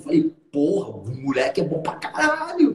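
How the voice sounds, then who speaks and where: Background noise is noticeable. The man's intonation stays fairly level. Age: 30s. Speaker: hypnotherapist and trainer. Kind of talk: live stream conversation.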